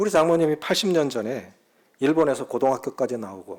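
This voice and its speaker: At a moderate pace, a man talks in a fairly high pitch on a very clean recording with a silent background. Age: 60s. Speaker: pastor. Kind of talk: sermon.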